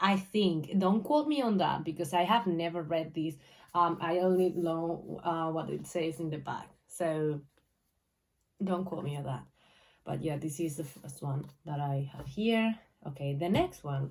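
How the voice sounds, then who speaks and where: A woman with a Spanish accent at a fairly slow pace. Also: fairly low pitch for a woman, ordinary pitch variation. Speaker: booktuber. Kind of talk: casual vlog talk. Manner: halting, many fillers.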